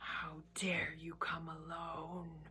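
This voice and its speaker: A woman puts on a character voice with a fairly low pitch. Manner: menacing, terrible.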